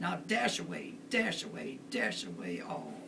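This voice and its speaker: A woman is speaking. Noticeable background noise sits behind her. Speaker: grandmother reading to family. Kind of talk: storybook poem reading aloud.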